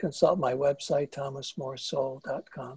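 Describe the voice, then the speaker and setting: A man's dark, mellow, somewhat breathy voice at a fairly slow pace, with ordinary pitch variation and a dry, close sound with no echo. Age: 70s. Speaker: author and psychotherapist. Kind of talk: interview. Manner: halting.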